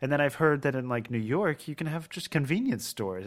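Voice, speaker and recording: On a very clean recording with a silent background, a man with an American accent speaks at a fairly quick pace, his medium pitch making very wide swings. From Maryland, US. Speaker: gaming podcast co-host. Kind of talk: casual chat.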